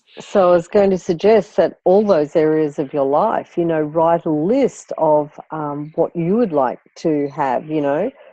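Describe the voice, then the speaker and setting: A woman with an Australian accent speaks at a fairly slow pace in a dark, mellow tone, with a fairly low pitch and ordinary pitch variation. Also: hardly any pauses. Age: 60s. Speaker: life coach. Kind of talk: coaching call. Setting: phone call.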